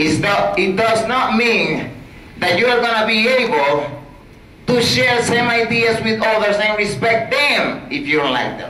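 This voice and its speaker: A raised, projected voice amid noticeable background noise and audible room echo. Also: man. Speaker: student speaker. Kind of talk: conference presentation. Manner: loud; animated.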